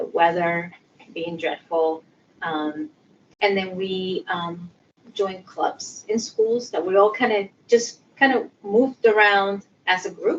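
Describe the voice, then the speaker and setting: A woman with a Spanish accent talks at a fairly slow pace, her pitch medium and its variation ordinary. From Puerto Rico. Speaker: sociology professor and social worker. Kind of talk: interview. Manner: many fillers (um).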